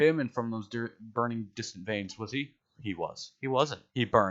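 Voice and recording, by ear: This is reading aloud in a natural voice, with ordinary pitch variation, over a quiet background.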